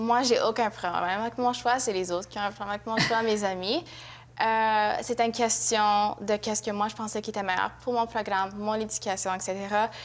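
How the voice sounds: A woman speaks at a medium pitch with fairly even intonation. Her pace is fairly quick, with few pauses.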